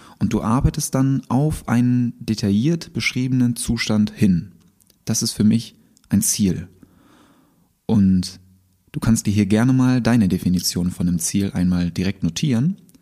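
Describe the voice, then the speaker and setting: With a dark, mellow tone at medium pitch, a man speaks at a fairly slow pace, leaving long, frequent pauses. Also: ordinary pitch variation. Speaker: podcast host. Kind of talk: motivational monologue with guided exercises. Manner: animated. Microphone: new microphone.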